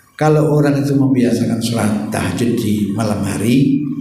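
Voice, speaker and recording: Moderate-paced male speech amid noticeable background noise and audible room echo. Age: 60s. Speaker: Islamic preacher. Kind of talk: sermon. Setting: mosque.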